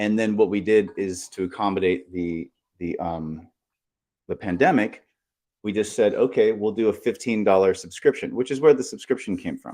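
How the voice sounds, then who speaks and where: A man talks at a moderate speed. Behind him, the background stays quiet. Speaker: studio and creative venue owner. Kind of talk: live panel chat. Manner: loud.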